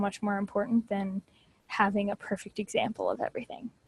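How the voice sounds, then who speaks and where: A woman speaks at a fairly quick pace in a somewhat breathy voice with monotone, flat intonation. The sound is dry and close, with no echo. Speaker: test prep tutor. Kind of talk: training session for tutors.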